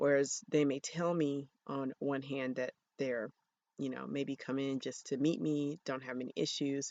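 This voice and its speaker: A woman's very deep, low voice, fairly slow in pace, with fairly even intonation. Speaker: physician and Reiki practitioner hosting a podcast. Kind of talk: solo podcast monologue. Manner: hesitant, many ums.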